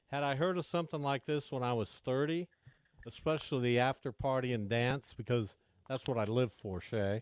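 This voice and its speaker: Speaking in a plain, everyday voice, a man keeps a medium pitch, ordinary pitch variation and a moderate pace, with a dry, close sound and no echo. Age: 60s. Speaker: radio host. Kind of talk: casual chat.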